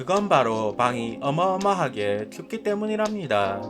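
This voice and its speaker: Fairly high-pitched man at a fairly slow pace, with very wide pitch swings and music in the background. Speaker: job seeker vlogger. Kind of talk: vlog voiceover narration. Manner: deliberately altered voice.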